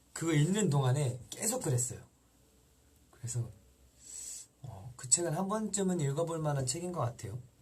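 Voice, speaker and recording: Soft-spoken and fairly high-pitched, a man talks at a very fast pace with lively intonation, broken by long, frequent pauses. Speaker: idol singer hosting fan livestream. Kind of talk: live stream chat with fans. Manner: calm, soft-spoken; halting with fillers.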